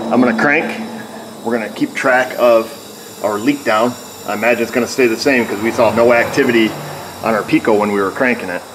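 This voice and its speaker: A man talks at a very fast pace. His intonation stays fairly even over noticeable background noise. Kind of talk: tutorial. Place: garage. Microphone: phone near.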